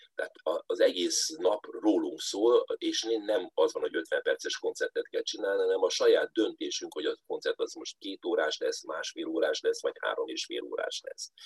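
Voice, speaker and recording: Delivered at a moderate pace with hardly any pauses and ordinary pitch variation, the voice has a dry, close sound with no echo. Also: man, extremely high pitch for a man. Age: 60s. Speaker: folk musician and space scientist. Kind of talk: interview.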